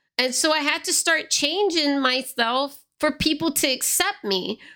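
A woman projects a raised, high voice with lively intonation and a bright, sharp tone on a very clean recording with a silent background. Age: 30s. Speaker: podcast host. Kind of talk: solo podcast monologue, personal storytelling. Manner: fast talker.

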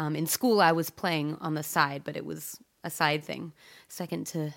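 A woman speaks with a Pacific Northwest accent at a fairly slow pace. Her tone is animated, and the recording is very clean with a silent background. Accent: general American, Pacific Northwest. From Eugene, Oregon. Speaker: singer-songwriter. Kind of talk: casual interview chat. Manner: animated, laughs often.

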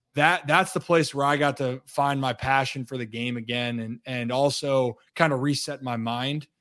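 A plain, everyday voice with fairly even intonation keeps a moderate pace with hardly any pauses on a very clean recording with a silent background. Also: man, medium pitch for a man. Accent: American. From Maryland, Baltimore County. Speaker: former baseball player and sports analyst. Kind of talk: casual interview.

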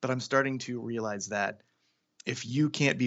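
A man with an American accent and an unremarkable speaking voice talks at a fairly slow pace. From US Pacific Northwest (Seattle, Washington). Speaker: cartoonist and character designer. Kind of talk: casual interview.

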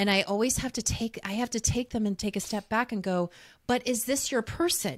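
A woman speaks fairly quickly in a fairly high voice with ordinary pitch variation and an ordinary speaking voice. The recording is very clean, dry and close, with no echo and a silent background. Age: 40s. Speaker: podcast host and dating coach. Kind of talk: casual interview chat.

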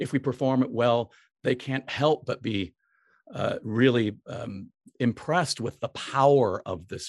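A man speaks at a fairly slow pace in a medium pitch. The recording is very clean and dry, close with no echo, over a silent background. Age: 60s. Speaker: opera conductor. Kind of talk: interview. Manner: halting.

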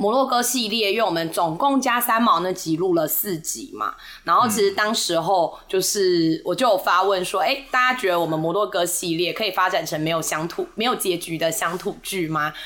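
At a moderate pace, the voice carries lively intonation over noticeable background noise. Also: woman. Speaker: podcast host, tour leader. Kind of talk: casual chat.

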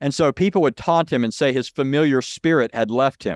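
With a normal speaking voice at medium pitch, a man talks at a moderate pace in a dry, close sound with no echo. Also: quiet background. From Southern California. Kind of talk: interview on religion.

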